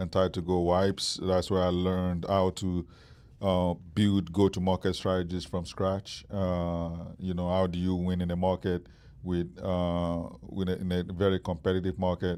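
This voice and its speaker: A man with a Nigerian accent speaks at a moderate pace in a very deep, low, dark and mellow voice, his intonation flat and monotone. The recording is very clean, with a silent background. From Nigeria, Lagos. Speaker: startup founder. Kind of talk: interview. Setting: stage with live audience. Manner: hesitant, many fillers.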